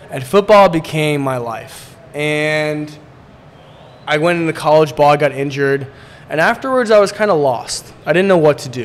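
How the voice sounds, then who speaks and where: Amid noticeable background noise, a man with an American accent speaks at a moderate pace and a fairly high pitch. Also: ordinary pitch variation. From Poland and US. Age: 20s. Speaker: real estate entrepreneur. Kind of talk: casual interview.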